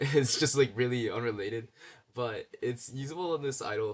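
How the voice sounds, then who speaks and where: A man speaks with ordinary pitch variation. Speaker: coding and game dev YouTuber. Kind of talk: casual screen-share demo. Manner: fast; halting, many fillers and restarts.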